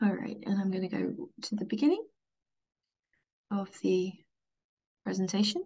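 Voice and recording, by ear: A woman speaks at a medium pitch with big pitch swings. Her voice has a slightly husky edge. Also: moderate pace.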